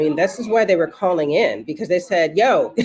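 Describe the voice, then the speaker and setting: Fairly quick talking beneath noticeable background noise. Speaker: voting rights advocate. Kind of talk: interview. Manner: halting.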